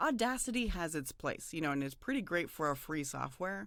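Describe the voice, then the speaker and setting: A woman with a fairly low pitch speaks at a fairly quick pace with lively intonation. The recording is very clean, with a silent background. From US Southwest. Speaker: voiceover artist. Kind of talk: interview.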